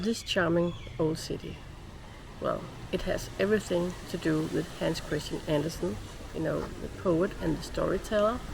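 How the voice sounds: A woman's fairly low voice with vocal fry, ordinary pitch variation and a moderate pace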